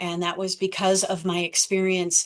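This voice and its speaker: In a normal speaking voice, this woman talks fairly slowly at a medium pitch. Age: 60s. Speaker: author and athlete with type 1 diabetes. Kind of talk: presentation.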